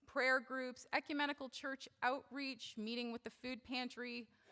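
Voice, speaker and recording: Loud and high-pitched, a woman speaks at a fairly slow pace. Her intonation is monotone and flat. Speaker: church member speaking at service. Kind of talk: talk at worship service. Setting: church service. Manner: casual, with fillers.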